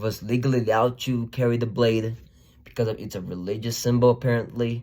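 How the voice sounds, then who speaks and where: In an animated tone, a man with a non-native accent speaks fairly quickly at medium pitch. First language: not English. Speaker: YouTuber, commentator. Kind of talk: opinion monologue.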